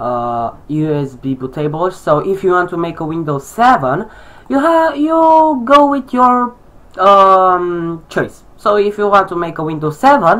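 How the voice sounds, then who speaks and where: The voice moves at a fairly slow pace with a Romanian accent. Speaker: tech tutorial youtuber. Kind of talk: tutorial. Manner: halting, many fillers.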